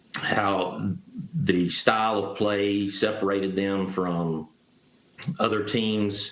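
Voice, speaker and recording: A man with a Southern Appalachian accent speaks at a very slow pace with fairly low pitch and fairly even intonation over noticeable background noise. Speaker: author. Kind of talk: interview.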